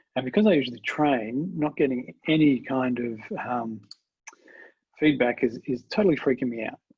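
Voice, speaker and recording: An Australian-accented man speaks at a moderate pace with ordinary pitch variation. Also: medium pitch for a man. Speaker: agile trainer and researcher. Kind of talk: webinar presentation. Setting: video call webinar. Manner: halting, many fillers.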